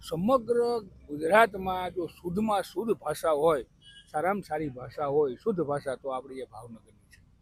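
The man speaks at a high pitch with lively intonation. His loudness swings widely. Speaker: interviewed local resident. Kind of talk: street interview.

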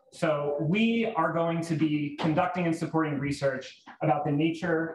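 A man speaks at a fairly slow pace with ordinary pitch variation, audible room echo and light background noise. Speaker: event host introducing program. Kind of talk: event introduction speech. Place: hall.

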